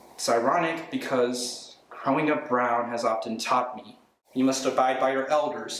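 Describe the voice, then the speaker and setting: A man speaks with ordinary pitch variation. Noticeable background noise is present. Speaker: spoken word poet. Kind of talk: spoken word poetry performance. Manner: energetic, comedic ranting delivery.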